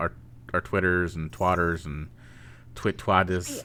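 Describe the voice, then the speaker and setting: A man with a Northeast Ohio accent speaks at a very deep, low pitch in a flat monotone, his tone bright and sharp. The recording is very clean, with a silent background. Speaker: streamer and podcast host. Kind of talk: casual chat.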